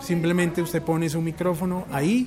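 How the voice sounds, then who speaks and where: A man talks at a fairly high pitch and a fairly quick pace. There is noticeable background noise. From Bogotá, Colombia (born Puerto Rico). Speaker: radio announcer. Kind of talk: casual chat.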